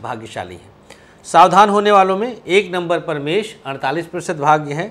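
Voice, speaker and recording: A man speaks in a high pitch with lively intonation. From Awadh region, Uttar Pradesh (Faizabad/Ambedkar Nagar area); Uttar Pradesh, India. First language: Awadhi (speaking Hindi). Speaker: astrologer. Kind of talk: astrology tips to camera. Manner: casual, chatty. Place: studio. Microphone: lapel.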